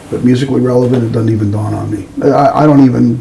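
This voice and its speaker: Talking at a very fast pace with an American accent, a man uses a medium pitch and ordinary pitch variation, with audible room echo and noticeable background noise. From US Midwest, Chicago area. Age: 70s. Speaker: musician and record producer. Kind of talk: casual interview chat.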